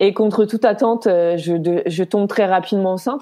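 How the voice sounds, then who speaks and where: A woman with ordinary pitch variation. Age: 30s. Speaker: nurse, single mother. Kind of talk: personal testimony interview.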